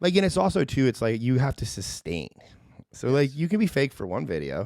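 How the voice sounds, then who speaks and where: On a very clean recording with a silent background, a man speaks at a medium pitch and fairly quick pace, his pitch swinging very widely. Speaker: content creator and video marketer. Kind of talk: casual chat. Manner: fast; confident.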